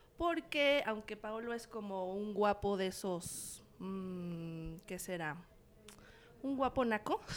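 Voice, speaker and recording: A woman at medium pitch and a very slow pace, with lively intonation. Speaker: cultural journalist. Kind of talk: casual chat. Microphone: too far from the mic.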